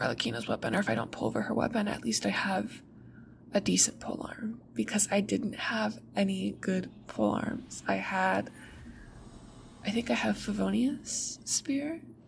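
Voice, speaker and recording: The speaker is soft-spoken with a gentle tone. The pace is moderate. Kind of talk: ASMR rambling about a video game, talking to the audience. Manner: soft-spoken, gentle.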